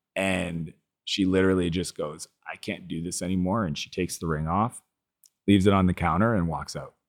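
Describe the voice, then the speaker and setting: A man with a Canadian Maritime accent speaks at a fairly quick pace in a very deep, low pitch. The recording is very clean, with a silent background. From Eastern Canada (New Brunswick). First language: French. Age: 40s. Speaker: entrepreneur and author. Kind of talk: interview, personal storytelling. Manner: animated.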